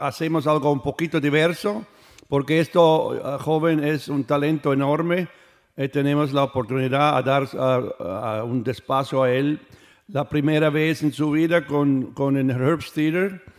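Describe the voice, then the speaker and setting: At a fairly slow pace, a man talks with a fairly high pitch and very even loudness. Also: ordinary pitch variation. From Switzerland. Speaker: orchestra conductor. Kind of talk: radio interview. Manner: halting.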